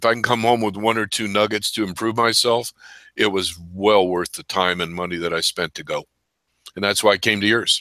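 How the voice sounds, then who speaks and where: Talking at a fairly quick pace, a man with a fairly low pitch has a bright, sharp tone and fairly even intonation, recorded very cleanly against a silent background with a dry, close sound and no echo. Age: 70s. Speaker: loan officer. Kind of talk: interview.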